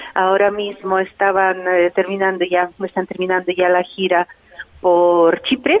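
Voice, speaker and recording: At a fairly slow pace, a woman of medium pitch speaks in a monotone, flat intonation with very even loudness. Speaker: ballet tour organizer. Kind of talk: radio interview. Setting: dance school, recorded live for radio. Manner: halting.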